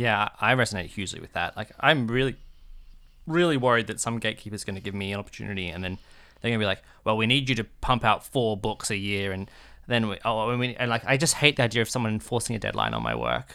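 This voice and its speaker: A man talks at a very fast pace with a fairly low pitch, ordinary pitch variation and vocal fry. His tone is bright and sharp, and the recording is very clean with a silent background. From Australia. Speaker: podcast co-host. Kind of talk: casual chat.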